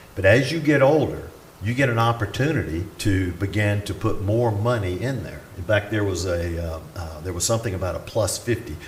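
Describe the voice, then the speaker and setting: A man with a Southern US accent talks at a fairly quick pace. His pitch is fairly low, and there is audible room echo. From US South (Atlanta, Georgia). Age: 60s. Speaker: retired pastor. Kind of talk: conference talk.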